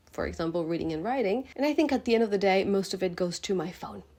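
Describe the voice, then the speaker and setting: Music plays behind a woman whose medium-pitched voice sounds animated, with ordinary pitch variation. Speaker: vlogger and aspiring writer. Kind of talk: casual talking-head vlog. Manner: chatty, animated.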